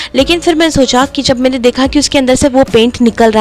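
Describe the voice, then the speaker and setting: A woman's high-pitched voice over music in the background. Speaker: DIY craft youtuber. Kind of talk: tutorial with voice-over narration. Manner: casual chatty.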